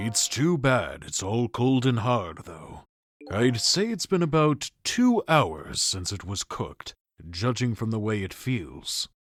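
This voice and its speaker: A man's put-on character voice at medium pitch, with very wide pitch swings and a fairly slow pace. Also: very clean recording, silent background. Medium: fan dub. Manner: calm, dry, world-weary.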